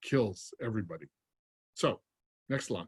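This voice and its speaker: A man's voice comes through somewhat breathy with ordinary pitch variation. The sound is dry and close, with no echo. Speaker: fundraising consultant. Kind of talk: webinar presentation. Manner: fast.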